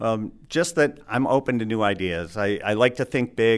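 In an Upper Midwest accent, a man talks at a moderate pace. The recording is very clean, with a silent background. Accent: Upper Midwest American. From Michigan, Alpena. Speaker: university sustainability director. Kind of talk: interview. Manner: hesitant, many filler words.

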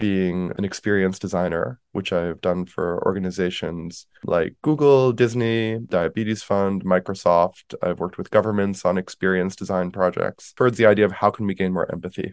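A man's fairly low voice at a moderate pace, an unremarkable speaking voice with ordinary pitch variation, dry and close with no echo over a quiet background. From US Northeast (New York, Connecticut). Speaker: empathy researcher and company founder. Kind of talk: interview.

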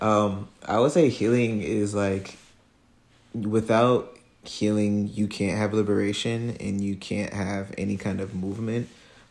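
Speaking very slowly with an American accent, a man keeps a fairly low pitch and a monotone, flat intonation. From New Jersey (Trenton). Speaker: food justice fellow, herbalist. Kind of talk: casual interview conversation. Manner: halting, many fillers.

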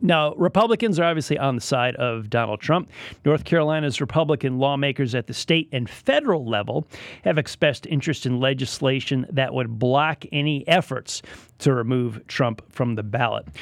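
The voice has an American accent and is an ordinary speaking voice at a moderate pace. Pitch varies in an ordinary way, and the recording is very clean with a silent background. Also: man, fairly high pitch for a man. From Connecticut, New England. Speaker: radio news host. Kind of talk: radio news talk show. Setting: radio studio.

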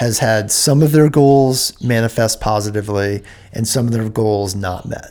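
With a plain, everyday voice, this man keeps to a moderate pace. He speaks at a medium pitch. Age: 40s. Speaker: podcast host. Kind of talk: scripted intro narration; casual interview. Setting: in person, recorded.

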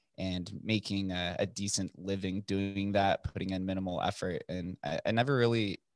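A man speaks with an American accent in a normal speaking voice. His pace is moderate and his intonation fairly even. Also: dry, close sound with no echo. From US West, Las Vegas. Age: 20s. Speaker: podcaster and entrepreneur. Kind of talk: casual interview chat.

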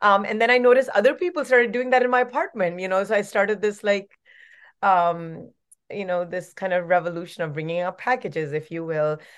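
With an unremarkable speaking voice, a woman talks at a fairly quick pace using lively intonation. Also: medium pitch for a woman. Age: 40s. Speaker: actress and activist. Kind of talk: interview. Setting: remote interview.

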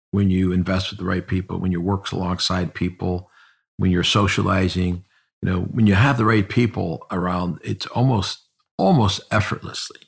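A man with an American accent, very deep and low in pitch, somewhat breathy, at a moderate pace with fairly even intonation, in a very clean recording with a silent background. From Cleveland area, Northeast Ohio. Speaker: insurance firm founder and CEO. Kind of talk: interview conversation.

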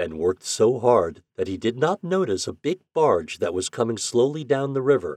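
Against a quiet background, the reading voice sounds natural.

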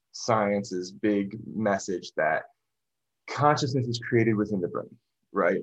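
At a fairly slow pace, a man with a normal speaking voice talks at medium pitch with ordinary pitch variation. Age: 30s. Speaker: musician and esoteric researcher. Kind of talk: casual interview conversation.

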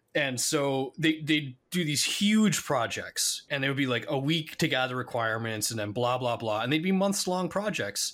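A man with an American accent speaks in a plain, everyday voice at a moderate pace, his pitch fairly high for a man, on a very clean recording with a silent background. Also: lively intonation. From United States. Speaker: podcast co-host, IT consultant. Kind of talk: casual chat.

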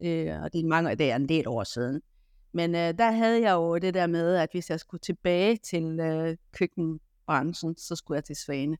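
A woman at a fairly low pitch and fairly slow pace, with ordinary pitch variation, a dry, close sound with no echo, and a very clean recording with a silent background. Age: 50s. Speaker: kitchen retail chain executive. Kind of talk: interview. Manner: hesitant, many fillers.

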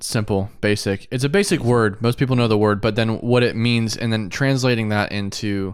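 On a very clean recording with a silent background, a man with a fairly low pitch speaks in a relaxed tone at a moderate pace, his intonation fairly even. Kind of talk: casual chat about faith. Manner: relaxed, laid-back.

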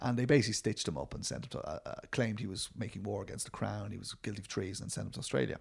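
Speech comes at a very fast pace with hardly any pauses, ordinary pitch variation, vocal fry and a Dublin accent. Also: man, fairly low pitch for a man. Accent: Irish, Dublin. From Dublin, Ireland. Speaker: film writer and director. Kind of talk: casual interview.

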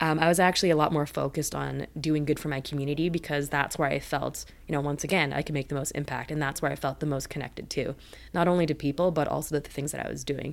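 A woman with a western Canadian accent speaks very fast in a very deep, low voice with vocal fry and monotone, flat intonation. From Richmond, British Columbia, Canada. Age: 30s. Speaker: media company co-founder and producer. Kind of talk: interview. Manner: casual, filler-heavy.

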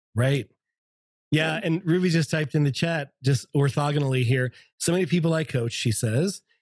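Fairly quick and somewhat breathy, a man speaks in a fairly high pitch with lively intonation. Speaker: podcast host. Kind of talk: casual chat. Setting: video call. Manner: animated.

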